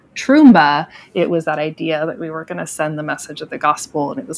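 Noticeable background noise is present. A woman speaks with an American accent in a very deep, low pitch. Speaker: ministry storyteller. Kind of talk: casual interview.

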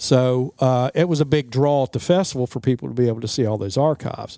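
A man with an American accent speaks in a dark, mellow tone at medium pitch, with ordinary pitch variation. The recording is very clean and dry, close with no echo and a silent background. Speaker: local festival organizer. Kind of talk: interview. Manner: casual, many fillers.

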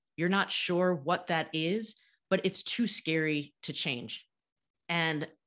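A woman with an American accent speaks at a fairly low pitch with ordinary pitch variation, in a normal speaking voice. The background is quiet. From United States. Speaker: podcast host and author. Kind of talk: interview conversation.

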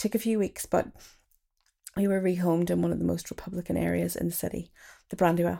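On a very clean recording with a silent background, a woman talks at a very fast pace, broken by long, frequent pauses. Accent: Derry. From Northern Ireland. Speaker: writer and performer. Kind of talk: reading own memoir piece.

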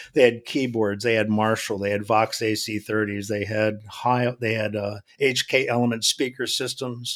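A man speaks at a medium pitch in a monotone, flat delivery. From New England. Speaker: church sound consultant. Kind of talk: casual interview.

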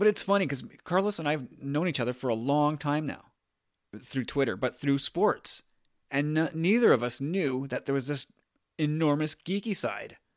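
A man with a Canadian accent and an unremarkable speaking voice talks at a moderate pace, fairly high in pitch, with lively intonation. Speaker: podcast host. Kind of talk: casual chat.

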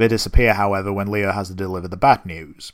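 In a very clean recording with a silent background, a man with a non-native accent and a fairly low pitch talks at a very fast pace. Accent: non-American accent, listeners may mock it. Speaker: podcast host. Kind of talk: solo episode recap and review.

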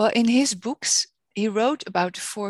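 A woman with a Dutch accent speaks at a fairly slow pace, with a dry, close sound and no echo.

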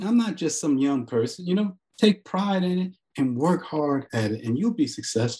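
A man speaks at a moderate pace with a dark, mellow tone. His high pitch swings very widely. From US Northeast, Newark, New Jersey. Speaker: biblical scholar and author. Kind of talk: interview.

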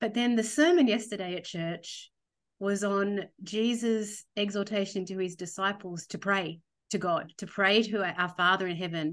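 A woman with an Australian accent at medium pitch, moderate pace and ordinary pitch variation, over a quiet background. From Australia, Sydney. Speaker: theologian, former church minister. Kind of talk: podcast interview.

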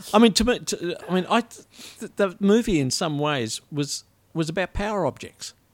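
A high-pitched man with an Australian accent. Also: lively intonation, moderate pace, dry, close sound with no echo. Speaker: writer and poet. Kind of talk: casual chat. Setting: studio.

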